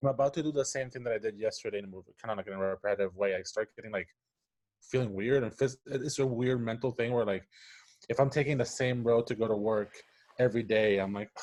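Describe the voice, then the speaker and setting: A man speaks with a Spanish accent. His pace is very fast. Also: medium pitch for a man, ordinary pitch variation. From Puerto Rico. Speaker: animation story artist and improviser. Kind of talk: interview conversation. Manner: halting, many restarts and fillers.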